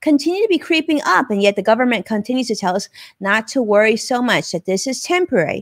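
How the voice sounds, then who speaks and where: A woman speaks at a fairly quick pace with a high pitch and lively intonation. The background is quiet, and the sound is dry with no echo. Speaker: live show host. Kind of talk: live show host commentary. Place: home room. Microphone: studio mic.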